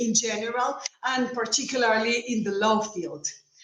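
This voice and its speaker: With audible room echo and noticeable background noise, a woman talks at a moderate pace and a fairly high pitch. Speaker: law professor. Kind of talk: conference talk.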